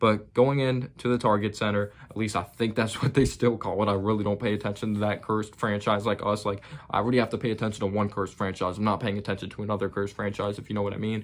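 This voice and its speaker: A man talks at a very fast pace. His pitch is fairly low. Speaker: basketball YouTuber. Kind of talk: sports recap commentary. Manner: loud; animated.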